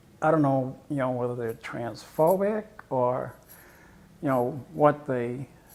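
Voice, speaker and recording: A woman with a very deep, low pitch and vocal fry speaks at a fairly slow pace with lively intonation. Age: 60s. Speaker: interviewee, transgender woman. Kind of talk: interview. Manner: hesitant, many fillers.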